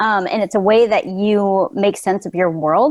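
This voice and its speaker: The recording sounds dry and close with no echo and a quiet background, and the pitch varies in an ordinary way. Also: woman. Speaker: pediatric occupational therapist. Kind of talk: casual chat. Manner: fast.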